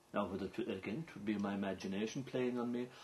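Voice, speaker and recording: This is a man speaking with an Irish accent. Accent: Irish (Clare). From County Clare, Ireland. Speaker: traditional storyteller (seanchaí). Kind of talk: documentary interview answer.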